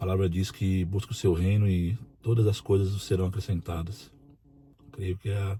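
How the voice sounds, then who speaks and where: This man's pitch is very deep and low, his tone dark and mellow, and he sounds somewhat breathy. He talks at a moderate pace with fairly even intonation. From Brazil, interior of São Paulo state. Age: 40s. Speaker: prison officer and union president. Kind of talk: personal testimony.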